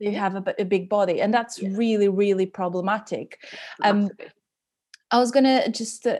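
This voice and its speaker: A dark, mellow tone in a Portuguese accent comes at a moderate pace with fairly even intonation, in a very clean recording with a silent background. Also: woman. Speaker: podcast host and dietitian. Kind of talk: interview conversation. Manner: halting.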